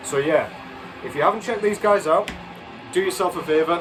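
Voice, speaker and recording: Noticeable background noise runs under this clip. The man's pitch varies in an ordinary way. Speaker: vinyl record reviewer. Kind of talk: casual video review. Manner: fast; hesitant, many fillers.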